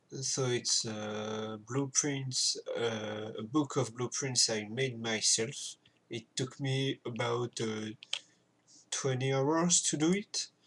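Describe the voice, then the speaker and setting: Speaking with a French accent, a man at a medium pitch moves at a very slow pace with ordinary pitch variation. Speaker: video game content creator. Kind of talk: gameplay tutorial commentary. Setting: home recording with keyboard noise. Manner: hesitant, many filler sounds.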